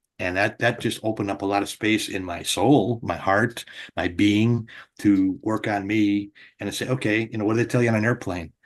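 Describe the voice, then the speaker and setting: This man has an ordinary speaking voice with an American accent, fairly low pitch, fairly even intonation and a fairly quick pace, heard against a quiet background. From Wisconsin. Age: 60s. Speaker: comedian and radio personality. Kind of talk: interview. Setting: live online interview.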